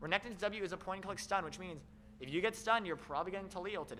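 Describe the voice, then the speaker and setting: A man's raised, projected voice, high in pitch and bright and sharp in tone, at a very fast pace with ordinary pitch variation. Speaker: esports caster. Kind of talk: live commentary. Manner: animated; loud.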